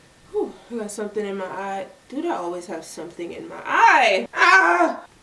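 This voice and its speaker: A woman is speaking. Noticeable background noise is heard. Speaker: violinist and vlogger. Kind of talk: casual vlog talk. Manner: loud.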